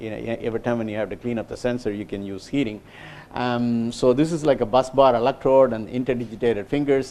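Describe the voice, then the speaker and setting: A man speaks at a very fast pace in a medium pitch, his intonation fairly even. His loudness swings widely. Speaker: engineer giving a research talk. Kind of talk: lecture. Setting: small lecture room. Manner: halting, many fillers.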